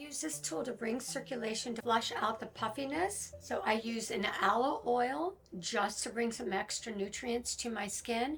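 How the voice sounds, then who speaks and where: In a normal speaking voice, a woman talks at a moderate pace, her pitch fairly high and her intonation lively. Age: 60s. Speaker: wellness and beauty content creator. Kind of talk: voiceover tutorial.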